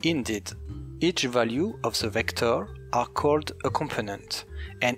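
A fairly slow pace with music in the background. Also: man. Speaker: game developer / shader tutorial maker. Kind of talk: programming tutorial narration.

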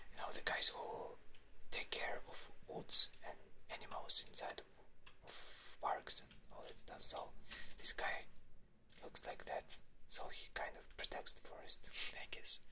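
Whispering in a relaxed tone, the speaker moves at a fairly slow pace with long, frequent pauses. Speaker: ASMR content creator. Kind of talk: gaming ASMR commentary to camera. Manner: quiet, relaxed, talking to viewers.

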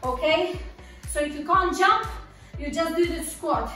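A woman with an extremely high voice speaks at a fairly slow pace with fairly even intonation. Audible room echo surrounds her, and faint music plays in the background. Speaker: fitness instructor. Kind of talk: workout instruction. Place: gym. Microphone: camera far.

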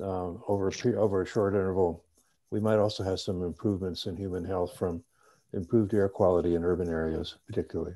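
A man's dark, mellow voice at a fairly quick pace against a quiet background. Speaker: subcommittee member. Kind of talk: formal committee meeting. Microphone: video call.

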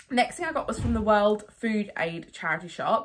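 Her intonation is lively. A woman is speaking, and the background stays quiet. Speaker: haul vlogger. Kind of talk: casual vlog chat. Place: home room. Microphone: phone near.

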